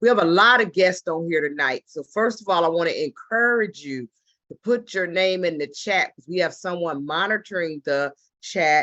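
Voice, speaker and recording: With an ordinary speaking voice at a fairly low pitch, a woman talks at a moderate pace with lively intonation and big swings in loudness. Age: 60s. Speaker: travel business ambassador, former government worker. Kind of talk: business opportunity pitch on video call. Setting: video call.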